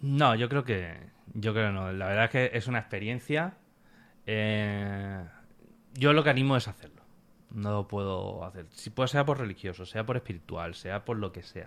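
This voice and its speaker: With a plain, everyday voice, a man speaks at a moderate pace in a fairly low pitch with ordinary pitch variation, on a very clean recording with a silent background. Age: 30s. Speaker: pilgrim recounting a hiking trip. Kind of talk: casual interview.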